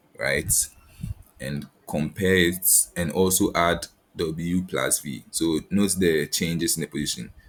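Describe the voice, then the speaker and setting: Very deep and low, a man talks at a fairly slow pace with vocal fry, fairly even intonation and long, frequent pauses. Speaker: lab instructor. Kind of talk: tutorial. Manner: halting, many repeated words.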